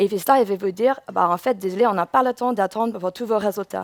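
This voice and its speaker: A woman's voice at a moderate pace, with a dry, close sound and no echo. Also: very clean recording, silent background. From England. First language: English (speaking French). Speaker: UX researcher. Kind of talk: conference talk. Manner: halting, with self-corrections.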